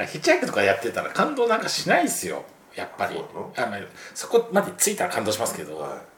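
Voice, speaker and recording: His speech runs at a fairly quick clip. He is a man, and noticeable background noise sits beneath the recording. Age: 40s. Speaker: travel podcast guest. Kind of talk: casual chat.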